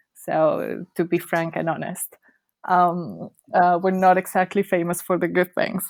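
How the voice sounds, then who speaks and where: In a Spanish accent, a woman with a fairly low pitch talks at a fairly slow pace in a monotone, flat intonation, with a dry, close sound and no echo. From Colombia, Bogota. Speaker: cruise ship worker and travel blogger. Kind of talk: casual interview. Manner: halting, many fillers.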